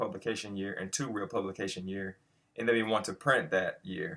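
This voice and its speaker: A man with a normal speaking voice talks at a fairly low pitch with fairly even intonation. The recording is very clean, with a silent background. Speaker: coding tutorial host. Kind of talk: tutorial. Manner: casual, with many fillers.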